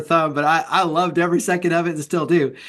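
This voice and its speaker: Using a high pitch, a man with an American accent talks at a fairly quick pace. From Texas. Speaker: podcast host. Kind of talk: interview podcast.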